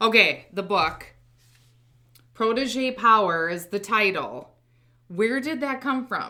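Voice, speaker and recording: With a Midwestern American accent, a woman speaks at a very slow pace with long, frequent pauses, her tone bright and sharp and her intonation lively. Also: fairly high pitch for a woman. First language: American Sign Language. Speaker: podcast host and recruiter. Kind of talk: podcast interview. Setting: studio. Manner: direct.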